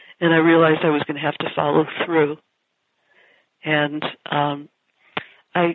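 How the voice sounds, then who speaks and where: A woman's very deep, low voice with an American accent, monotone and flat, at a moderate pace. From New York, Long Island. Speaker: Zen priest and teacher. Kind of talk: casual interview. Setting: phone call.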